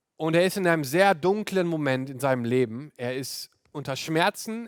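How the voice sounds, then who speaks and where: A man's high-pitched voice with ordinary pitch variation, dry and close with no echo. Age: 30s. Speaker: pastor. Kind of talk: sermon. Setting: video call.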